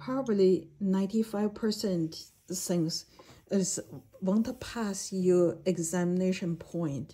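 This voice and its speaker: A dark, mellow, somewhat breathy voice at a very slow pace. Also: woman, medium pitch for a woman, ordinary pitch variation. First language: not English (English is third language). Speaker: jade expert and educator. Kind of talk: video lecture. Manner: halting, with many fillers.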